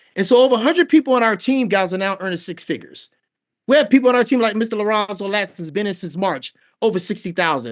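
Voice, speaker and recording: A man's high, animated voice with an American accent, at a very fast pace with lively intonation, over a quiet background. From Washington D.C. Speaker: network marketing recruiter. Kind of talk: sales pitch. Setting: video call.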